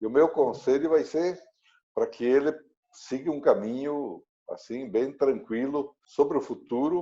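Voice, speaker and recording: Speaking at a fairly slow pace, a man has a fairly high pitch, a dark, mellow tone, and ordinary pitch variation. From Brazil, interior of Rio Grande do Sul. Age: 70s. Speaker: former agriculture minister and agribusiness executive. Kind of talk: interview.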